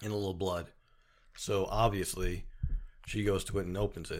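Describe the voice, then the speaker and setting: A man speaks at a moderate pace with a fairly low pitch in a normal speaking voice. The recording is very clean, with a silent background. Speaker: horror podcast co-host. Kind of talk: casual chat.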